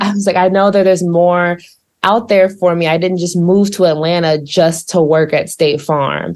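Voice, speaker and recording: A woman with an American accent talks at a fairly quick pace in a normal speaking voice. Her pitch is medium, with ordinary variation. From Missouri. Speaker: social media manager. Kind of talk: interview.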